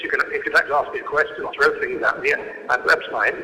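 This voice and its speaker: A man races through his words at a very fast pace with noticeable noise in the background. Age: 60s. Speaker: author and columnist, panelist. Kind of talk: panel discussion talk. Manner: halting, many repeated words.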